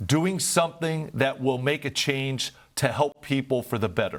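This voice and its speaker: Pitched fairly high for a man, an unremarkable speaking voice with ordinary pitch variation comes through a very clean recording over a silent background. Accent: American. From Northeast Ohio. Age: 60s. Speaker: nonprofit founder and former business executive. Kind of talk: interview.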